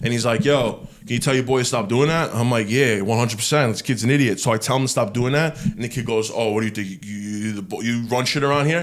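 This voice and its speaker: With a Brooklyn accent, a man talks at a very fast pace and an animated tone. He hardly pauses at all. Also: medium pitch for a man, ordinary pitch variation. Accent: New York (Brooklyn). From New York, Brooklyn. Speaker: clothing brand founder. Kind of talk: casual chat. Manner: loud.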